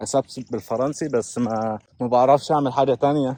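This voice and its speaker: A man talks at a fairly quick pace and medium pitch, his tone dark and mellow. The sound is dry and close with no echo, over a quiet background. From Kuwait and Egypt. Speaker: vlogger. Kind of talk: casual vlog storytelling. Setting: outdoors, walking. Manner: animated.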